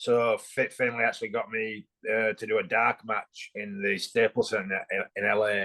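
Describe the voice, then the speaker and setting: A man with a bright, sharp tone, medium pitch and monotone, flat intonation, in a dry, close sound with no echo. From England. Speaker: former bodybuilder and pro wrestler. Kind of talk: podcast interview.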